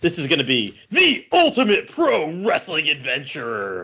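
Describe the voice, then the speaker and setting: A man puts on a character voice at a fairly high pitch. His pace is moderate. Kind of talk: promotional, dramatic. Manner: loud, hyped, announcer delivery.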